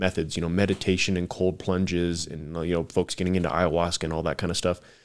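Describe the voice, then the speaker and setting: A man talks with an American accent at a very fast pace. His pitch is very deep and low. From Tucson, Arizona. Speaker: war veteran and archery business owner. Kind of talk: casual interview conversation.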